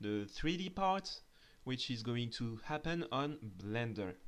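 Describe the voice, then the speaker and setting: A man in a strong French accent, medium in pitch, with lively intonation and a fairly slow pace. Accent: thick French. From France. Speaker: 3D artist and tutorial creator. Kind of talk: tutorial. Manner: hesitant, with filler sounds.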